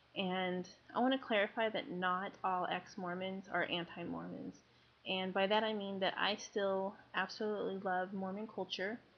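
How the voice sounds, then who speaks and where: At a moderate pace, a woman speaks at medium pitch with fairly even intonation. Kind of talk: personal testimony. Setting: webcam recording. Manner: quiet, trying to speak louder; hesitant, many ums.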